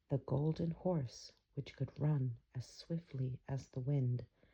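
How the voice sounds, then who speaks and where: Soft-spoken and calm, at a very slow pace. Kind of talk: fairy tale reading, ASMR bedtime story. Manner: soft-spoken, calm.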